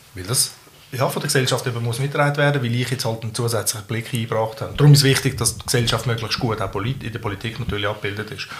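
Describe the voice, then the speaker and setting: The speech comes at a very fast pace with fairly even intonation. Noticeable background noise runs underneath. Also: man, medium pitch for a man. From Switzerland, Zurich area, Balkan family. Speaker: local politician. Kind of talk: casual debate. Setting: home kitchen.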